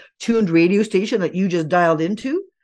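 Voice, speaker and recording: In an ordinary speaking voice, a woman talks fairly quickly at medium pitch with lively intonation against a quiet background. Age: 60s. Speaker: integrative medicine doctor and teacher. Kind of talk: interview. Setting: remote call.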